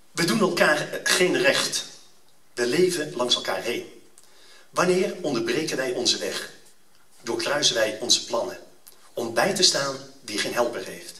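The speech moves at a fairly slow pace with long, frequent pauses, and the room echo is audible. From Netherlands. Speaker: event speaker. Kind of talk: fervent prayer, read aloud solemnly before an audience; public address to an audience, promotional speech. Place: hall. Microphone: camera far.

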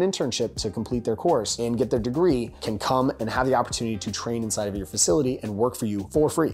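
Over faint music in the background, a man speaks at a very fast pace with ordinary pitch variation. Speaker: business coach. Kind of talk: tutorial. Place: home room.

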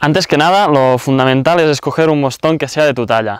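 A man's voice at a moderate pace, with ordinary pitch variation, a dry sound with no echo and a quiet background. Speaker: trail running coach. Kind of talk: tutorial. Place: forest. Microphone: lapel.

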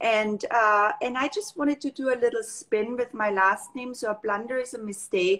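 Against a quiet background, a woman with a German accent speaks at a high pitch and a moderate pace, with ordinary pitch variation and hardly any pauses. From Austria, Tyrol near Kitzbühel; Tyrol, Austria. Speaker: makeup artist and brand founder. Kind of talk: casual interview. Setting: live video call. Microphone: video call.

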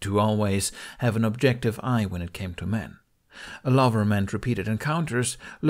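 A plain read-aloud passage

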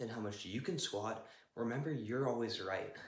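The speech moves at a moderate pace, with audible room echo. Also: man. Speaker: fitness vlogger. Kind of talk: casual vlog chat. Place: gym.

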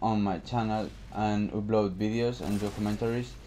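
With a Spanish accent, a man talks at a moderate pace in a fairly low pitch with monotone, flat intonation. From Spain. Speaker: gaming commentator. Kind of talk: casual talk to camera. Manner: hesitant.

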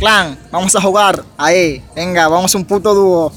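At a very slow pace, a man speaks at a high pitch in a dry sound with no echo over light background noise. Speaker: gaming streamer; game streamer. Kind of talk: live gameplay commentary. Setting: live stream. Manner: animated. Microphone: phone near.

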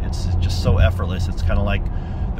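A man talking very fast, dry and echo-free, over loud background noise. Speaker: car owner reviewing his car. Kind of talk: casual vlog chat. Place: car. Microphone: phone near.

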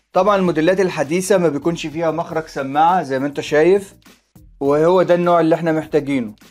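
Very fast delivery with fairly even intonation over faint music in the background. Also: man. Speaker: presenter. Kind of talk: tutorial. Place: home room.

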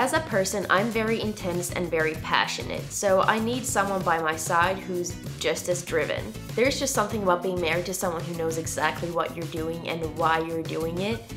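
Clear music plays in the background as a woman speaks at a fairly quick pace. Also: fairly low pitch for a woman. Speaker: lifestyle vlogger. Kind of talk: casual vlog chat. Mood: playful, expressive. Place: home room.

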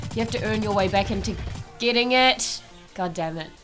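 Music sits in the background as a woman talks at a moderate pace. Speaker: gaming video creator. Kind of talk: casual gameplay commentary.

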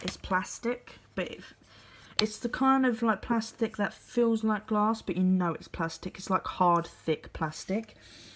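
Fairly high pitch from a woman, varied in an ordinary way. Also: fairly slow pace. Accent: British. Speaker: YouTuber. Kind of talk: casual vlog show-and-tell. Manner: casual with many fillers.

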